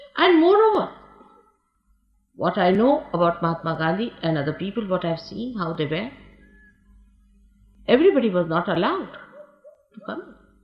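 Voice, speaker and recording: Music plays in the background while the voice, with lively intonation, leaves long, frequent pauses. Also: woman, medium pitch for a woman, moderate pace, big swings in loudness. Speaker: spiritual teacher. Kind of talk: recorded talk recalling personal history.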